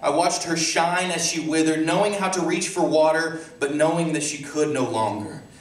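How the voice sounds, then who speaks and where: Over noticeable background noise, a man with a high pitch talks at a moderate pace. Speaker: poet. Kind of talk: poetry reading. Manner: hesitant, stuttering.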